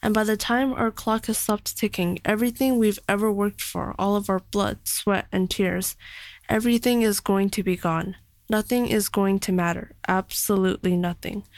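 A plain, everyday voice from a woman at medium pitch, at a moderate pace with fairly even intonation and very even loudness, on a very clean recording with a silent background. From Canada. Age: young. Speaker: young writer. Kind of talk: reading own reflective prose.

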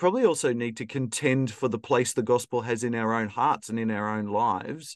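With an Australian accent, a man speaks at medium pitch against a quiet background. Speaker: podcast host. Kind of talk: interview conversation.

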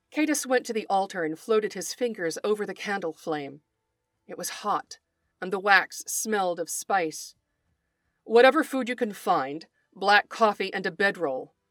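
A woman speaks at medium pitch and a moderate pace, with lively intonation and big swings in loudness. The sound is dry and close with no echo, and music plays in the background. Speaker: podcast host and writer. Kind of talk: dramatic narration, reading fiction aloud; scripted podcast intro and outro.

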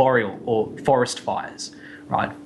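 This speaker is a man with an Australian accent. His pitch is medium. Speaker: science podcast co-host. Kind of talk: explanatory casual chat.

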